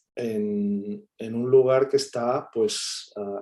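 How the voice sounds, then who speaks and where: In a Catalan accent, a man talks at a very slow pace with monotone, flat intonation. His medium-pitched voice has a dark, mellow tone. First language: Catalan (speaking Spanish). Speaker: academic guest speaker. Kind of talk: seminar talk answering questions.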